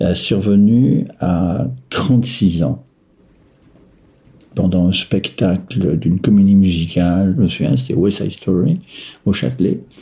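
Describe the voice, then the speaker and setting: At a very slow pace, a man speaks at a very deep, low pitch with lively intonation and long, frequent pauses. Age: 60s. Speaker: person living with bipolar disorder, retiree. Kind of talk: personal testimony. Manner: hesitant, many filler sounds.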